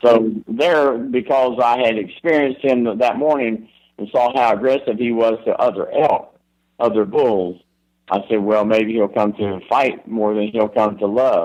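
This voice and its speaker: Speaking with a Southern US accent, a man uses a medium pitch with ordinary pitch variation. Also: fairly slow pace. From Florida, US South. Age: 70s. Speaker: elk hunting expert. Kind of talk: podcast interview.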